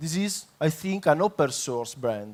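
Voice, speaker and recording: In a very clean recording with a silent background, a man with a fairly high pitch talks with lively intonation. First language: Italian. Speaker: public consultant. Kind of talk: conference talk. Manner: halting, many fillers.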